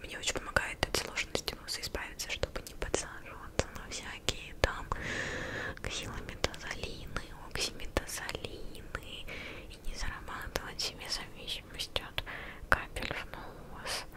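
Against loud background noise, a soft-spoken woman talks at a fairly slow pace. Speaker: video creator. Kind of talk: casual vlog chat. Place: home room. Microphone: studio mic.

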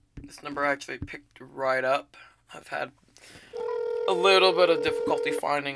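There is loud background noise as a man speaks. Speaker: caller. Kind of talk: casual vlog chat. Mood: playful, amused. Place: home room. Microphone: webcam.

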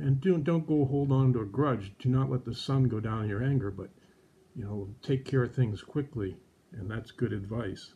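A dark, mellow, somewhat breathy tone with ordinary pitch variation. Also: man, moderate pace. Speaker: presenter. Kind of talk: children's devotional teaching. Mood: gentle, warm. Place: home room. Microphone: phone near.

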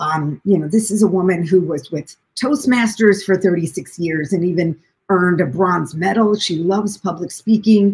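At a moderate pace, a woman talks with hardly any pauses. Her voice is somewhat breathy. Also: medium pitch for a woman, ordinary pitch variation. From US Midwest, Springfield, Illinois; Illinois. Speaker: documentary filmmaker and caregiver; guest. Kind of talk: interview conversation. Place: home room. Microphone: echo.

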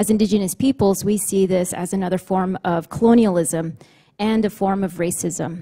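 A woman speaks in a medium-pitched, somewhat breathy voice with a dark, mellow tone. Her intonation is fairly even, and the background is quiet. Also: moderate pace. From New Mexico, Navajo Nation; New Mexico. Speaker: panelist. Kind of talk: panel briefing presentation. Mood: earnest, serious. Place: hall. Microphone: podium.

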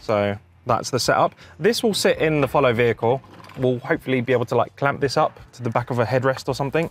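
At a fast pace, a man talks with lively intonation at a medium pitch.

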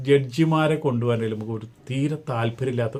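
This man has an ordinary speaking voice, and his pitch varies in an ordinary way. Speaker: gossip vlogger. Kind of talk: casual commentary monologue.

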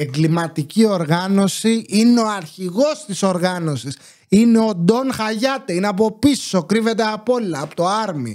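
Against a quiet background, a man speaks in a high pitch at a fairly slow pace. His tone is animated and his intonation lively. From Greece. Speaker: YouTuber commentator. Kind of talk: casual monologue commentary. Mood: sarcastic, indignant. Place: home room. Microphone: studio mic.

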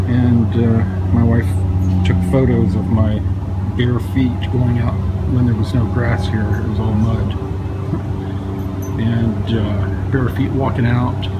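Music plays in the background as a man speaks at a very slow pace, with long, frequent pauses. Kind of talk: casual vlog chat. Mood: matter-of-fact, slightly wary. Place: garden. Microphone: phone near.

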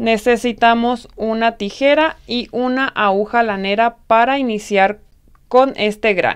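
Against a quiet background, a woman speaks at a very slow pace. Her intonation is fairly even. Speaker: crochet tutorial host. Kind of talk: tutorial.

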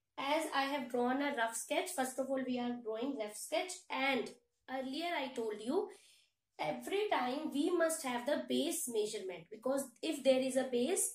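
The speech comes at a fairly slow pace, with audible room echo against a quiet background. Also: woman. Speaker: teacher. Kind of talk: lecture. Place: home room.

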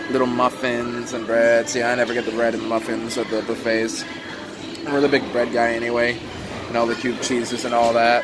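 Noticeable background noise runs through the clip. A man does the talking. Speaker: vlogger touring a buffet. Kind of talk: casual vlog chat. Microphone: phone near.

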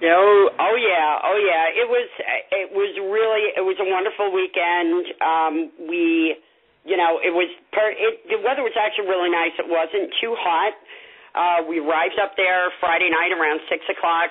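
A woman with an ordinary speaking voice at medium pitch, very even loudness, a moderate pace, and fairly even intonation. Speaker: paranormal investigator. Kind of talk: casual panel discussion.

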